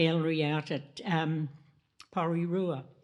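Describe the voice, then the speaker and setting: A woman with a New Zealand accent talks at a fairly slow pace and a fairly low pitch. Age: 90s. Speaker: panelist at art gallery anniversary talk. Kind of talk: panel discussion. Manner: halting.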